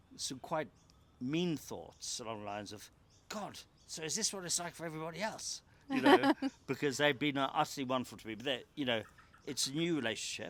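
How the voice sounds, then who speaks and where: An unremarkable speaking voice from a man, fairly high in pitch, fairly quick, with lively intonation. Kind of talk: interview answer.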